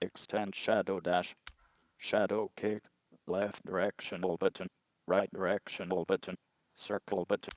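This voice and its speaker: A man uses a put-on character voice at a fairly low pitch and moderate pace. He takes long, frequent pauses. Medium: video game. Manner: monotone, mechanical.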